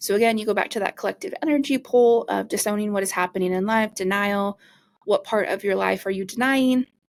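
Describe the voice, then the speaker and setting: Fairly quick speech with ordinary pitch variation, in a dry, close sound with no echo, on a very clean recording with a silent background. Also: woman. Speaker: podcast host and energy healer. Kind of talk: casual podcast monologue. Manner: fast.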